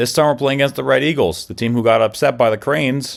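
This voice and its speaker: On a very clean recording with a silent background, a man with vocal fry and medium pitch talks fairly quickly with ordinary pitch variation. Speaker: gaming YouTuber. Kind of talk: video game commentary. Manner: stutters at times; animated.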